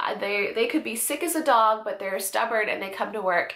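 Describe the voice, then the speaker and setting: With audible room echo, a woman talks at a fairly high pitch with ordinary pitch variation. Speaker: vlogger. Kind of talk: casual vlog update. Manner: casual, many fillers.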